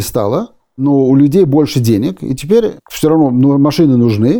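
With lively intonation and a dark, mellow tone, a man talks at a moderate pace in a fairly high voice. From Odesa, Soviet Union. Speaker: dentist and geopolitics analyst. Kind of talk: explanatory interview. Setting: studio.

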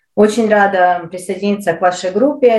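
Her pitch is medium. The woman's pitch variation is ordinary. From Ukraine. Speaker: podcast co-host for Ukrainian newcomers. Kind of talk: casual interview.

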